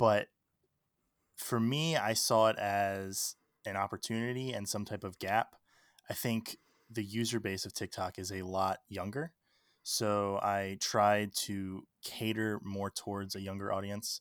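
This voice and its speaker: A man with an American accent and a plain, everyday voice speaks fairly slowly at a fairly low pitch, on a very clean recording with a silent background and a dry, close sound with no echo. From Maryland, Baltimore. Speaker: TikTok creator and podcaster. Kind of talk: interview conversation.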